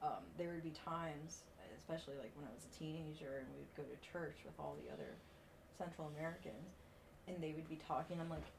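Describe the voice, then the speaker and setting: Audible echo surrounds a woman with a very deep, low pitch. She talks at a very fast pace with fairly even intonation. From Puerto Rico. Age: 30s. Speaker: strongman athlete. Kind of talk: casual podcast chat.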